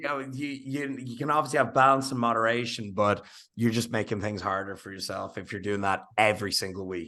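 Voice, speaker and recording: A man in a Dublin accent talks at a fairly quick pace with hardly any pauses and big swings in loudness. His tone is bright and sharp against a quiet background. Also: medium pitch for a man, ordinary pitch variation. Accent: Irish, Dublin. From Ireland. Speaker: fitness coach and influencer. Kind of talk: podcast conversation. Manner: casual.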